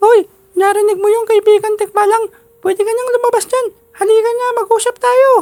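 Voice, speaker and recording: Using a put-on character voice, a man pitches it extremely high. His pace stays moderate. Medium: read story. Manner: chatty, eager.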